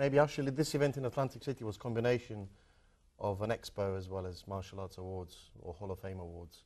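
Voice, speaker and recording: Against a quiet background, a man with a British accent talks fairly quickly in a dark, mellow, fairly low voice, with lively intonation and big swings in loudness. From London, England (moved from Croatia at 12). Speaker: martial arts film actor. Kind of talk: interview. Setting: TV studio.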